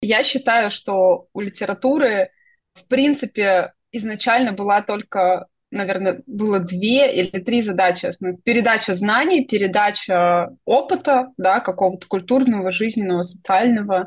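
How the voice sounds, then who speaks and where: Big swings in loudness mark a woman's somewhat breathy voice. Her pitch shows ordinary variation. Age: 30s. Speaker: science fiction writer and UX designer. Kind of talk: interview. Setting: internet call.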